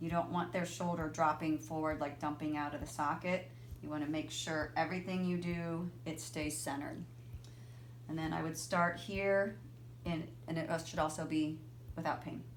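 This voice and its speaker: A woman speaks with a very deep, low pitch and vocal fry, at a moderate pace. Her intonation is fairly even, and room echo is audible. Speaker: physical therapist. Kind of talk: tutorial. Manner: casual, informal.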